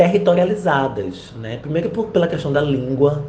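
A man's lively intonation in a room with audible echo. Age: 40s. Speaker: university professor and researcher. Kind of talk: interview answers. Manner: hesitant, many fillers.

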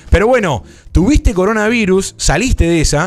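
Over music in the background, a man talks with very wide pitch swings. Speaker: podcast host. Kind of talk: casual live-stream chat. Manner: animated.

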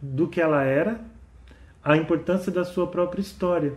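Dark and mellow in tone, a man's voice carries ordinary pitch variation. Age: 50s. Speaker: podcast host and author. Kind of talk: monologue podcast talk.

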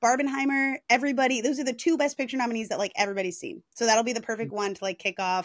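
Spoken at a very fast pace, the voice shows ordinary pitch variation. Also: woman. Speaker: podcast host. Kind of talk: casual, chatty. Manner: fast talker.

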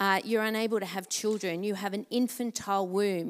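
This woman has an Australian accent and a medium pitch. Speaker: pastor. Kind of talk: testimony. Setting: church.

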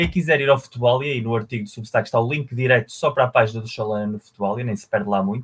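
This man's somewhat breathy voice stays at a medium pitch, and his pitch moves in an ordinary way. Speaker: football podcast co-host. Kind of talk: casual chat.

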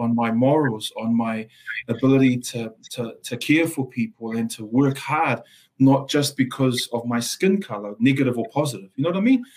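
A man with a Samoan accent speaks at a moderate pace with ordinary pitch variation. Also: medium pitch for a man. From Samoa, raised in South Auckland. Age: 40s. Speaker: lawyer and Salvation Army social worker. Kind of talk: interview conversation. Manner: halting, repeats words, passionate.

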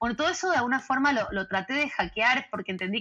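A woman speaks with music in the background. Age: 40s. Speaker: organizational culture consultant. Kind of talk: interview.

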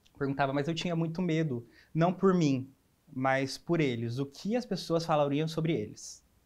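In a plain, everyday voice, a man talks at a moderate pace with a fairly high pitch and ordinary pitch variation, set against a quiet background. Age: 20s. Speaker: advertising designer. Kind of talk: interview.

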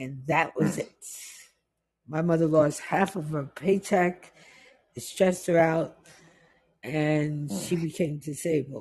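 A woman with an American accent and a very deep, low pitch for a woman, somewhat breathy, at a very slow pace with long, frequent pauses, ordinary pitch variation and big swings in loudness. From New York, West Indian family. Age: 50s. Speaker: guest. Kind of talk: casual chat. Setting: video call.

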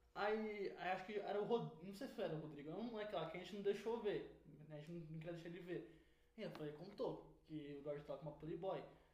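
A man speaks very fast with a high pitch and ordinary pitch variation. There is noticeable background noise and audible room echo. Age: young. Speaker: podcast co-host. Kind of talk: casual chat.

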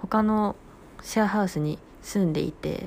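A woman's medium-pitched voice, fairly slow, with ordinary pitch variation. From rural Japan. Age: 20s. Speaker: radio personality, new company employee. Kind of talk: solo radio talk. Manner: polite, casual.

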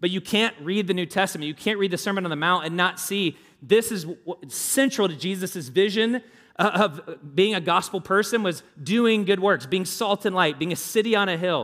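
A man speaks with a Southern US accent at a moderate pace. His pitch is high, with ordinary variation. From US South. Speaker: pastor. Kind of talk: sermon. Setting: church. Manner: informal, halting with fillers.

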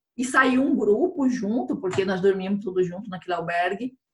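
A woman's somewhat breathy voice. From Brazil, Mato Grosso (Chapada dos Guimarães). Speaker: chef and pilgrim hiker. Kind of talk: casual interview chat.

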